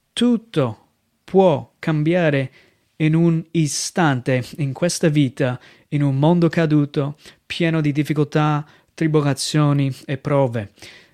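With an American accent and a dark, mellow tone, a man speaks at a fairly high pitch with ordinary pitch variation, very slowly and with long, frequent pauses. The recording is very clean, with a silent background and a dry, close sound with no echo. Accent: American accent in Italian. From United States. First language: English (speaking Italian). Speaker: missionary pastor. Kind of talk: sermon. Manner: halting.

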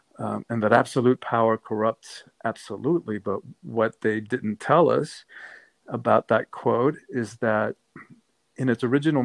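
A man speaks at a medium pitch and a moderate pace, with ordinary pitch variation and vocal fry. The sound is dry and close with no echo, in a very clean recording with a silent background. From Cuba, then Miami. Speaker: author and transformation coach. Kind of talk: interview conversation.

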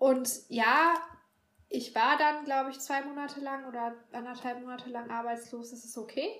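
A woman speaks with a high pitch and fairly even intonation at a moderate pace. Her loudness swings widely, and there is audible room echo. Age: 30s. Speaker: bookshop worker. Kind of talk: casual chat.

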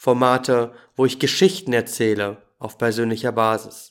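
On a very clean recording with a silent background, a man at medium pitch speaks at a fairly slow pace with ordinary pitch variation. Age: 20s. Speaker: podcast host and holistic coach. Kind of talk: scripted podcast intro monologue.

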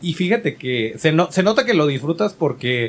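His intonation is lively, at a moderate pace. The man talks in a plain, everyday voice. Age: 30s. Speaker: podcast host. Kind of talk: casual chat.

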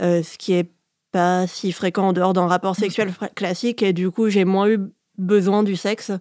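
Speaking at a moderate pace, a woman uses monotone, flat intonation and a dark, mellow tone at medium pitch, on a very clean recording with a silent background. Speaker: shibari performer and instructor. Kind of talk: interview. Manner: halting.

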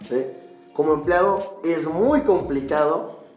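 A man talks in a room with audible echo. Noticeable background noise runs behind him. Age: 20s. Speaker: psychologist and MMA fighter, podcast co-host. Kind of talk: casual chat.

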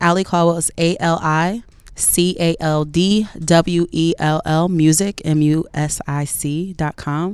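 A woman speaks with an American accent at a fairly low pitch. Hers is a plain, everyday voice with fairly even intonation. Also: fairly slow pace. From New Jersey. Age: 30s. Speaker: R&B singer. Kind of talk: casual interview.

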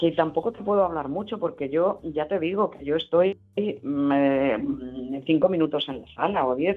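This woman speaks at a moderate pace in a fairly low pitch, with ordinary pitch variation and big swings in loudness. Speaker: voice actress and dubbing teacher. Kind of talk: interview. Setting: remote connection.

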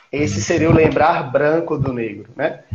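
A man at a fairly slow pace. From Piauí, Brazil (Campo Maior). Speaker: historian, researcher. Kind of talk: interview on a live stream. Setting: video call. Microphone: echo, audio feedback through his mic.

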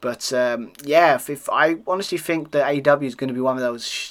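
A man with a British accent speaks at a fairly high pitch in a very clean recording with a silent background. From United Kingdom. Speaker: wrestling podcast host. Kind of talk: solo review monologue. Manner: halting, filler-heavy.

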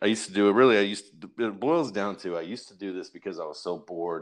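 Against a quiet background, a man talks at a very fast pace with hardly any pauses. His pitch is fairly low with ordinary variation. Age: 30s. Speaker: online wrestling roleplay writer. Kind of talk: interview.

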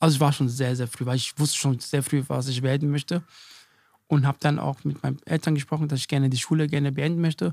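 Speaking very fast with a slight Hessian accent, a man with a fairly high voice keeps his intonation fairly even, on a very clean recording with a silent background and a dry, close sound with no echo. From Germany, Hesse. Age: 40s. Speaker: chef and restaurant owner. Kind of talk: interview. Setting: in his restaurant.

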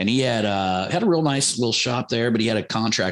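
A man with an American accent speaks at a fairly quick pace in a plain, everyday voice. His pitch varies in an ordinary way. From US Midwest, Ohio. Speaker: marketing entrepreneur. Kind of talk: casual interview.

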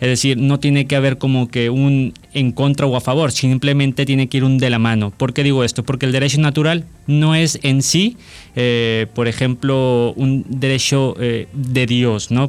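With music in the background, a man talks at a medium pitch and a moderate pace, keeping fairly even intonation and very even loudness. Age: 20s. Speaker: law student. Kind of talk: casual chat.

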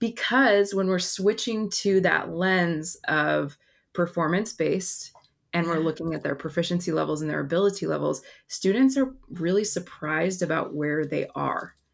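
In an American accent, a woman with an ordinary speaking voice speaks at a moderate pace, her fairly low pitch showing ordinary variation, in a very clean recording with a silent background. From Oregon, Portland area. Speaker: former Spanish teacher, education presenter. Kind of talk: casual interview chat.

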